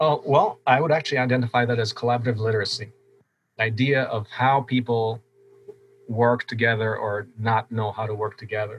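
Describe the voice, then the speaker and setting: This man speaks at a fairly quick pace with a medium pitch and a somewhat breathy voice. His intonation stays fairly even. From Poland, moved to US around age 10. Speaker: open source hardware founder, engineer. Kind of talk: interview conversation.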